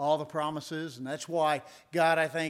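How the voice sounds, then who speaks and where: On a very clean recording with a silent background, a man with an American accent uses a normal speaking voice, fairly high in pitch, at a moderate pace. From Indiana, US Midwest. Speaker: preacher. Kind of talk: sermon. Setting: church.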